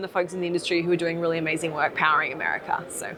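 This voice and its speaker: This woman has an Australian accent. Her pitch sits in the medium range. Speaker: app founder and career coach. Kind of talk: interview. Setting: industry conference.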